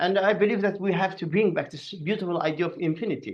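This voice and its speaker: A man with an Azerbaijani accent, high in pitch, at a fairly quick pace with ordinary pitch variation. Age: 60s. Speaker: artist and philosopher. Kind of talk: podcast conversation. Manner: halting.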